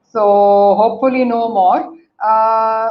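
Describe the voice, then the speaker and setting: Amid audible room echo, a woman speaks fairly slowly at a fairly high pitch with fairly even intonation. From Pakistan, Karachi. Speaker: guest speaker, company CEO. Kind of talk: motivational talk.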